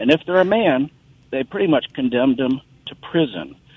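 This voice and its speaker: A man with an American accent, lively intonation and a moderate pace. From Ohio, US Midwest. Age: 50s. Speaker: caller. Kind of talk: call-in comment. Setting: phone call. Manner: animated.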